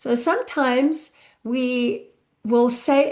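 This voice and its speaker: A woman speaks with a South African accent. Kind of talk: live online masterclass. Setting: live online session with chat.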